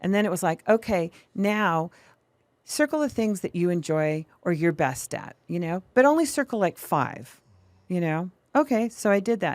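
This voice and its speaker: A woman with a plain, everyday voice talks at a medium pitch and a moderate pace. The recording is very clean and dry, close with no echo and a silent background. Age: 60s. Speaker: mortgage broker and business owner. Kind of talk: casual interview. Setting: studio.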